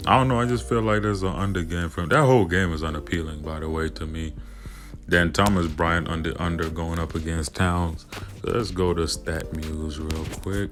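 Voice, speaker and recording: Music plays in the background, and room echo is audible. A man speaks at a very deep, low pitch with ordinary pitch variation. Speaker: sports betting picks youtuber. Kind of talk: casual picks video monologue. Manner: fast; casual, slangy.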